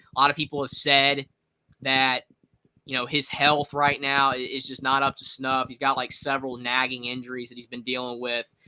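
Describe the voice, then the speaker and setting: Loudness swings widely as a man with a Southern accent speaks at a medium pitch. His moderate-paced delivery has monotone, flat intonation. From North Carolina. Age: 20s. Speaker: sports streamer. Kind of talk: live reaction commentary. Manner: casual, repetitive filler words.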